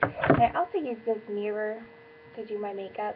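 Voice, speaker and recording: There is noticeable background noise in this recording. A woman speaks at a medium pitch with fairly even intonation. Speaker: beauty vlogger. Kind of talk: tutorial. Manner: casual.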